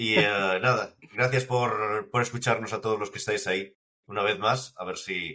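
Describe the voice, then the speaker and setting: A man's bright, sharp voice at a fairly low pitch, with fairly even intonation. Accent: Galician. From Galicia, Spain. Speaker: podcast host. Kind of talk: casual chat.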